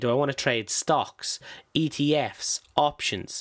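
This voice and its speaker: A man talks in an Irish accent. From Ireland. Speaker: stock trading YouTuber. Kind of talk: tutorial. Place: home room. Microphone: studio mic.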